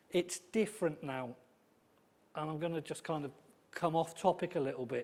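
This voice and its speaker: Speaking with a slight Welsh accent, a man talks at a moderate pace. His pitch is fairly high, with ordinary pitch variation. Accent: slight Welsh twang. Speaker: football club welfare and safeguarding officer. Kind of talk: conference talk. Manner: conversational, hesitant fillers.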